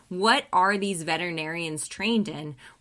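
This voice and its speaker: A woman with a General American accent speaks at a fairly low pitch in a bright, sharp tone with ordinary pitch variation. The recording is very clean, with a silent background. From Colorado. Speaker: veterinarian. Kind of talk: interview.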